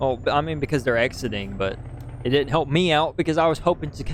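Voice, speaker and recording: Very fast, animated speech with lively intonation over noticeable background noise. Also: man. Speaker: gaming streamer. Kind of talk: live gameplay commentary. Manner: casual, animated.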